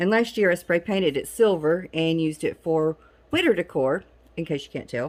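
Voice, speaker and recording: Speaking in a Southern US accent, a woman has a fairly low pitch with ordinary pitch variation, captured in a very clean recording over a silent background. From Southern United States. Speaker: DIY crafter. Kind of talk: casual talk to camera.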